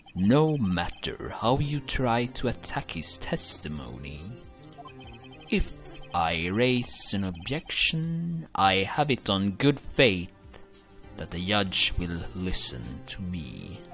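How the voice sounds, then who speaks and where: A put-on character voice at a very slow pace, with very wide pitch swings over clear music in the background. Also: man, fairly low pitch for a man. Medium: game stream. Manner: cold, controlled, superior.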